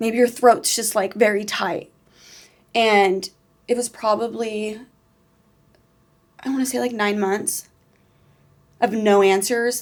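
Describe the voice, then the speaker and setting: Very slow, monotone, flat delivery in an American accent. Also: woman, fairly high pitch for a woman. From California (Bakersfield). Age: 20s. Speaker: interview guest, victim's daughter. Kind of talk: personal testimony in interview. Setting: studio. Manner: casual, many fillers.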